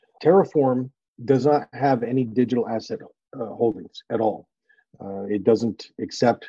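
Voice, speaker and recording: At a moderate pace, a man with a medium pitch and a dark, mellow tone speaks with ordinary pitch variation. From northern New England, US. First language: French. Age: 50s. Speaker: finance partner and investor. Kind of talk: casual interview.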